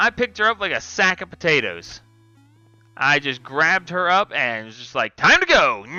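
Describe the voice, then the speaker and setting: Over music in the background, a man talks at a moderate pace with a high pitch. His voice has very wide pitch swings and big swings in loudness. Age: 30s. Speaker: gaming streamer. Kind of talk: casual live stream commentary. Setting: live stream. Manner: casual, with fillers.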